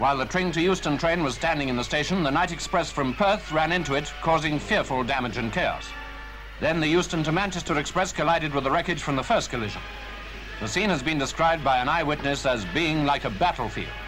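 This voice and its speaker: Over music in the background, a man talks at a very fast clip in a fairly high pitch, with ordinary pitch variation. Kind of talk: newsreel narration. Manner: grave, solemn.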